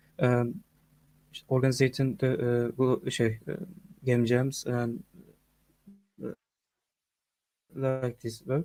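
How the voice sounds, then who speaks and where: With a Turkish accent, a man speaks very slowly at a medium pitch, using ordinary pitch variation and long, frequent pauses. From Turkey. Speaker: game developer and community manager. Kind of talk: video call self-introduction. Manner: halting, many fillers.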